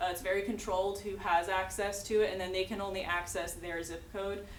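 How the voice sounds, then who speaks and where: Spoken at a fairly quick pace in a flat monotone, the clip carries audible room echo and noticeable background noise. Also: woman. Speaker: public health outreach presenter. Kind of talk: presentation. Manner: fast.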